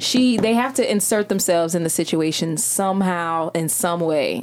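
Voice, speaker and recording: A woman's medium-pitched voice with ordinary pitch variation, over noticeable background noise. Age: 20s. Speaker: podcast guest, podcast co-host. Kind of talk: casual chat.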